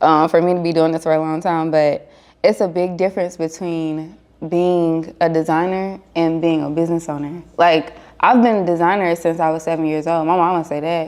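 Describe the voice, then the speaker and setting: A woman with an American accent speaks at a moderate pace, her fairly low pitch delivered in a monotone, flat intonation. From North Carolina. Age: 20s. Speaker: fashion designer and business owner. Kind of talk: podcast interview. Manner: casual.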